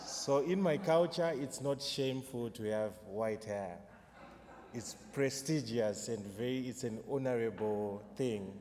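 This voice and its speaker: A medium-pitched man at a fairly slow pace, with ordinary pitch variation and audible room echo. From Zimbabwe. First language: Shona. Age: 30s. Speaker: poet. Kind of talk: poetry performance with spoken introduction. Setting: church concert with audience.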